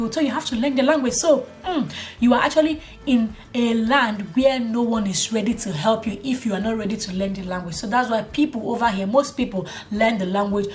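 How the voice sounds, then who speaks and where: Over noticeable background noise, a woman with a fairly high pitch talks at a fairly quick pace in an animated tone, her pitch varying in an ordinary way. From Nigeria. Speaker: YouTube vlogger. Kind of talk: casual vlog monologue. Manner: animated, conversational.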